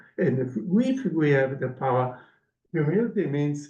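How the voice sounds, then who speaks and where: With a Sicilian accent, a man speaks at a fairly high pitch with a dark, mellow tone. His moderate pace carries audible room echo. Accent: Italian (Sicilian) accent in English. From Sicily, southern Italy. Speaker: professor. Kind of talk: Q&A after lecture. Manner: halting, many fillers.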